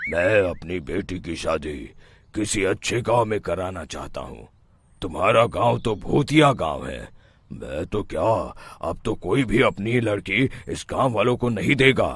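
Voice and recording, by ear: A man's raspy, cartoonish character voice, fairly low-pitched, at a fairly slow pace, in a very clean recording with a silent background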